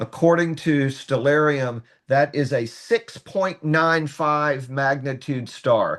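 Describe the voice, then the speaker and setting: Against a quiet background, a man with a slight North Carolina accent and fairly high pitch speaks at a very slow pace. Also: ordinary pitch variation. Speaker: astronomy workshop presenter. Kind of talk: tutorial. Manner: conversational, with hesitations.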